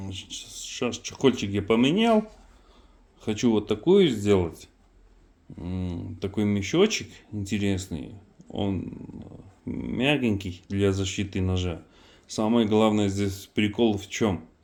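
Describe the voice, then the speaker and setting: A man's fairly low voice at a very slow pace, with ordinary pitch variation and long, frequent pauses. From Armenia. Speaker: knife maker. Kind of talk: casual product demonstration. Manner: halting, many fillers.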